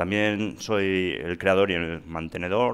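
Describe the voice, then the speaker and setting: His pitch sits very deep and low. The man keeps his intonation fairly even. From Spain, Asturias (Gijón); Asturias, Spain. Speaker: software engineer; presenter. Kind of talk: conference talk. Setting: stage with audience. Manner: halting. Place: hall. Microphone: headset.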